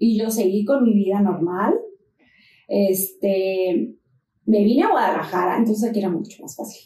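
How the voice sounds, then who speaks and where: A woman with a medium pitch and a somewhat breathy voice talks at a moderate pace with ordinary pitch variation. Her loudness swings a lot, and she takes long, frequent pauses. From Mexico, La Paz (Baja California Sur). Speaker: fitness influencer and trainer. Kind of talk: casual interview chat.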